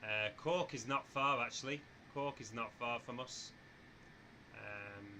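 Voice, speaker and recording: A man with a northern English accent at medium pitch, bright and sharp in tone, at a fairly slow pace with long, frequent pauses and ordinary pitch variation. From northwest England, near Manchester. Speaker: flight simulator streamer. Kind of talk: live stream chat. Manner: casual, chatty.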